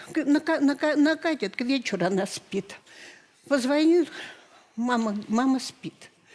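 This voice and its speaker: A woman with a high pitch and lively intonation speaks at a fairly slow pace, leaving long, frequent pauses. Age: 70s. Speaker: talk show guest, grandmother. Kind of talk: emotional talk show testimony. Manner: halting, stammering.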